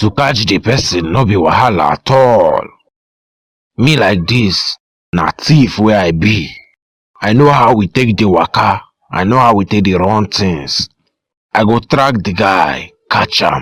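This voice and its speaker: Using a raspy, put-on character voice, a man speaks fairly slowly at a fairly low pitch, leaving long, frequent pauses. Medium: cartoon.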